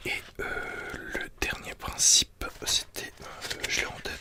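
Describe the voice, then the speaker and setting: A man whispering at a very slow pace over noticeable background noise. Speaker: ASMR creator. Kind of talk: ASMR book review. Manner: whispered.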